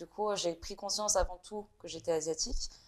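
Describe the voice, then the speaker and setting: In a very clean recording with a silent background, a woman speaks at a fairly quick pace with fairly even intonation. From France. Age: 20s. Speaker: video maker and media founder. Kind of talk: interview. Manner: halting, many hesitations.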